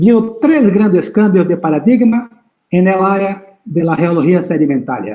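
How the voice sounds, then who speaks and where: In a Brazilian accent, a man speaks high for a man in a dark, mellow tone, with lively intonation, very even loudness and audible room echo. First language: Portuguese (speaking Spanish). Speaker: geology professor. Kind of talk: lecture. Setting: live stream.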